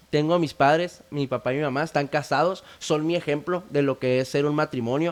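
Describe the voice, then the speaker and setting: This man has a normal speaking voice, pitched fairly high. He talks at a fairly quick pace with ordinary pitch variation. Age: 20s. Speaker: founder of addiction recovery initiative. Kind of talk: testimony.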